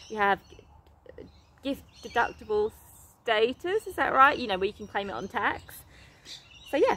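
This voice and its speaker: Lively intonation marks a woman's speech in an English accent. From England. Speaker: animal rescue charity founder. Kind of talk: casual vlog reading and answering an email. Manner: animated.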